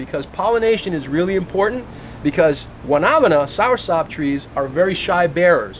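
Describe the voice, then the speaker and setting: Over noticeable background noise, a man with a high pitch speaks in an animated tone with lively intonation. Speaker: fruit tree grower and video host. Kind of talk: casual backyard interview. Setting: outdoors in a backyard.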